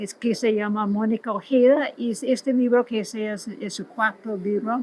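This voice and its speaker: With an English accent, a woman talks at a fairly high pitch and fairly even intonation over noticeable background noise. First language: English (speaking Spanish). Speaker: literary scholar. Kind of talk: interview. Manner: halting, with restarts.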